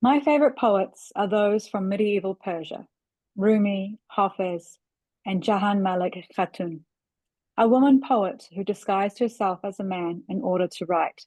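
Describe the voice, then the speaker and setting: A woman with a New Zealand accent speaks at a moderate pace and medium pitch, her dark, mellow tone showing ordinary pitch variation in a dry, close sound with no echo against a quiet background. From New Zealand, Auckland. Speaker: writer. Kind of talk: reading aloud.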